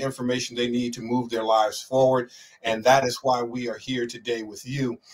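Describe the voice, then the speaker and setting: This man talks at a moderate pace with fairly even intonation. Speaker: show host. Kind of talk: interview discussion. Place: home room.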